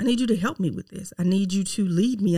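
Speaking in a Southern US accent at a moderate pace, a woman has a medium pitch, an animated tone, and ordinary pitch variation. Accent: Southern US, noticeable twang. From Mississippi, US South. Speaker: podcast host, realtor. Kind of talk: faith-based personal growth talk, monologue. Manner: conversational, animated, direct address.

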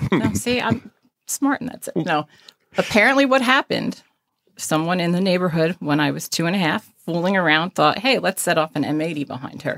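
Her pitch swinging very widely, a woman with a North Jersey accent talks at a fairly quick pace. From northern New Jersey. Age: 40s. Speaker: emergency dispatcher. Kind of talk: interview conversation.

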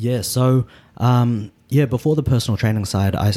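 A man speaks in a New Zealand accent. His tone is dark and mellow, and his pace is moderate. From New Zealand (Auckland). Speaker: personal trainer, vegan bodybuilder. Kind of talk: casual interview. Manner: halting, many fillers.

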